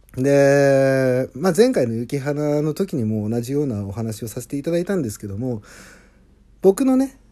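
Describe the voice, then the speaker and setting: Medium in pitch, a man speaks at a moderate pace. His intonation is lively. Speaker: singer-songwriter. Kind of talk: casual monologue.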